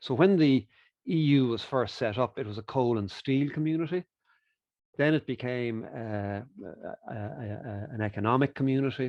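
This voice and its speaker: The man's voice sits at medium pitch with ordinary pitch variation. His pace is moderate, with long, frequent pauses. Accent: Irish. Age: 60s. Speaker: economist and author. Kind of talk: interview. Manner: hesitant fillers.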